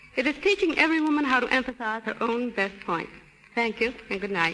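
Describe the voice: The pace is fairly quick and the intonation lively. The tone comes across as fairly bright. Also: woman, fairly high pitch for a woman.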